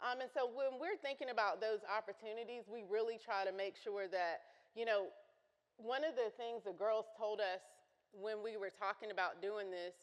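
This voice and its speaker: A woman speaks at a moderate pace with a fairly high pitch and ordinary pitch variation. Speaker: consultant and youth program presenter. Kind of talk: conference presentation. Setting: conference breakout session with audience. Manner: loud.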